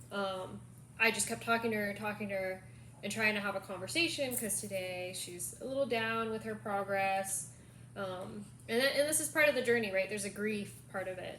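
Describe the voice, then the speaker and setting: Noticeable background noise and audible room echo surround a woman's voice. She talks at a fairly quick pace, medium in pitch, with lively intonation. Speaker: caregiver vlogger. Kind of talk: casual chat.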